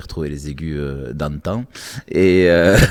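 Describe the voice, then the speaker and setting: A man talks at a fairly slow pace in a very deep, low pitch. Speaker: voice actor. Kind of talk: interview. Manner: halting.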